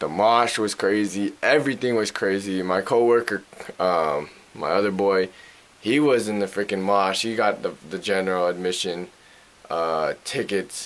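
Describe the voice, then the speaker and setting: A man's fairly low voice at a moderate pace over noticeable background noise. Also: ordinary pitch variation. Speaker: vlogger. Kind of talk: casual vlog talk.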